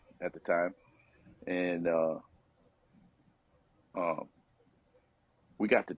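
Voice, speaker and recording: A man speaks at a fairly slow pace. His tone is relaxed. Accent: American. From upstate New York. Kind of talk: interview answer. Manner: casual, relaxed.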